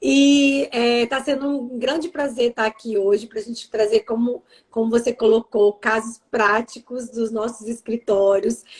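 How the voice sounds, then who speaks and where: The speaker has an ordinary speaking voice. The pace is fairly slow, and the sound is dry and close with no echo. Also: woman, fairly high pitch for a woman. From Brazil, Vitória, Espírito Santo. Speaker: lawyer. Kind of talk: live stream talk. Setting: live stream video call.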